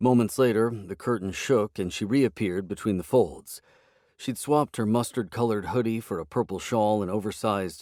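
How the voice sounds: Someone reads aloud in a natural way.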